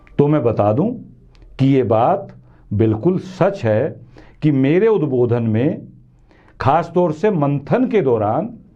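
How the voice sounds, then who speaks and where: The man's voice sits at a fairly high pitch. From western Uttar Pradesh, India. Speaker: news commentary show host. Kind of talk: monologue commentary to camera.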